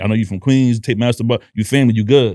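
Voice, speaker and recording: At a very fast pace and with ordinary pitch variation, the speech comes through on a very clean recording with a silent background. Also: man. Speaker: DJ and podcast host. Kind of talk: casual podcast chat.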